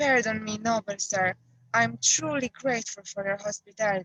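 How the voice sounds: The pitch moves in an ordinary way. The delivery is a natural reading voice.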